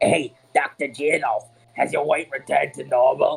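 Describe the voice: A man puts on a character voice in a Cockney accent. He speaks at a moderate pace.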